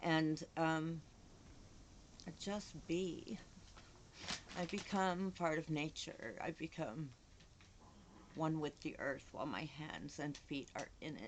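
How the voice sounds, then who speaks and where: Very slowly, with long, frequent pauses, a woman talks in a very deep, low pitch with ordinary pitch variation. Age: 60s. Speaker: vlogger with Parkinson's. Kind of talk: casual monologue vlog. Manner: halting, repeating words.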